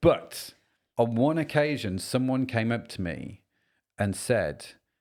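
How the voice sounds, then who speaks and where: In a British accent, a man speaks with lively intonation in a very clean recording with a silent background. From Britain. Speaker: podcast host. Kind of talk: casual chat.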